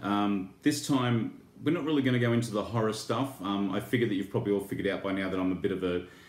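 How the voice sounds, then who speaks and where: Audible room echo surrounds a man's fairly low voice, which shows ordinary pitch variation. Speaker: toy and horror YouTuber. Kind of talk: casual unboxing vlog. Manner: halting, many fillers.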